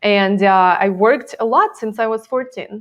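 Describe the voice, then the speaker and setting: In a Russian accent, a woman speaks at a fairly slow pace. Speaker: time management coach. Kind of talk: interview.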